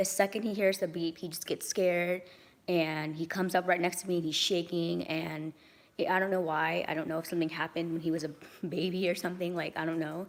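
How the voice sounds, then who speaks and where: A woman talks at a very fast pace. Her fairly low voice stays in a flat monotone. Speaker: vlogger. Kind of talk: casual vlog monologue. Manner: casual, many filler ums.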